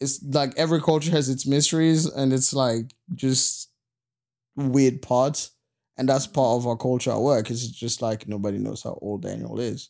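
On a very clean recording with a silent background, a man talks at a moderate pace and medium pitch, with ordinary pitch variation. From Congo, Central Africa. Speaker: podcast co-host. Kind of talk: casual chat.

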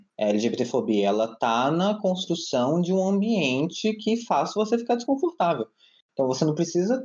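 Very wide pitch swings mark a man's speech at a fairly slow pace. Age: 20s. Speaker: architect and LGBT rights advocate. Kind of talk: casual chat. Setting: video call.

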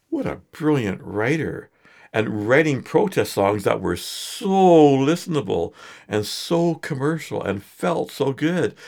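A Canadian accent at a very slow pace, very wide pitch swings, and a very clean recording with a silent background. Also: man, fairly high pitch for a man. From Edmonton, Alberta, Canada. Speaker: singer-songwriter and photographer. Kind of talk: casual interview chat. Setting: studio.

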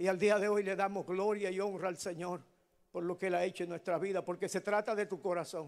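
Fairly even in intonation, this man's voice sits high in pitch. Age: 60s. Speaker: preacher. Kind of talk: sermon. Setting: church.

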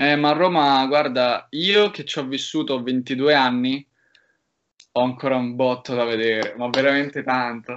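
A man in a normal speaking voice talks at medium pitch and a fairly slow pace, with fairly even intonation. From Rome, Italy. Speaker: university student. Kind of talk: casual interview.

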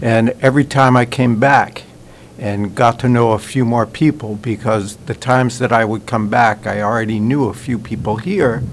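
Using a plain, everyday voice, a man with an American accent speaks at medium pitch and a moderate pace with fairly even intonation. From Nantucket, Massachusetts, US. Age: 60s. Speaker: resident.

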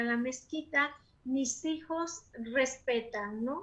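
A woman speaks in a raised, projected voice at a high pitch, with a bright, sharp tone and ordinary pitch variation. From Mexico. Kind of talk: casual interview.

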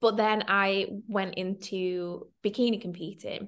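A bright, sharp tone in a Mancunian accent. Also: woman. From Manchester, northern England. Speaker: content creator and confidence coach. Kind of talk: casual interview chat. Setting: online call.

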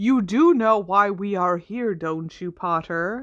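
Putting on a character voice, a woman speaks at a fairly slow pace in a medium pitch. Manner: dangerous.

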